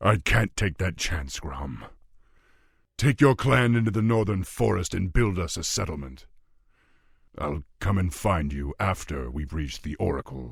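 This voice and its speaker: A man speaks at a moderate pace in a put-on character voice pitched very deep and low. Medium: video game. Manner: commanding, measured.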